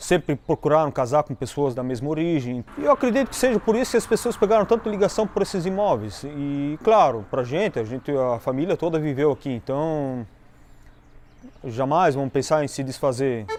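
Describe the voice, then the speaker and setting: Swinging very widely in pitch, a man with a fairly high voice speaks at a moderate pace. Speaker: historic house owner running a tourist café. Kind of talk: interview.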